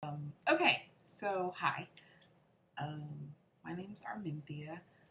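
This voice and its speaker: At a very slow pace, a woman with a very deep, low pitch speaks in a bright, sharp tone with ordinary pitch variation. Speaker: parent of a medically fragile child, channel owner. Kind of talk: personal vlog monologue. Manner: stuttering, hesitant with many fillers.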